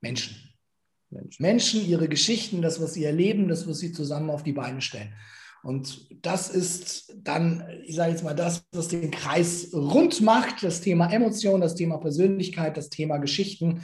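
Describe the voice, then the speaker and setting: The recording has audible room echo. A man talks in a high pitch. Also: ordinary pitch variation, moderate pace. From Nuremberg, Franconia. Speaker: motivational speaker. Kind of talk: interview.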